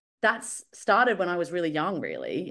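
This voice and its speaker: Over a quiet background, a woman with an Australian accent and a fairly low pitch talks at a very fast pace. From Australia, Brisbane. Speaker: recruitment professional. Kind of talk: podcast interview.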